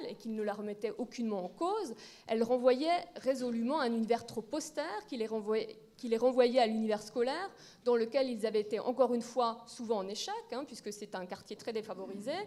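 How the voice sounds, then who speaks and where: Against noticeable background noise, a woman talks fairly quickly in a high voice with ordinary pitch variation. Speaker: librarian, round-table speaker. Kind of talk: conference talk. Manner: fast.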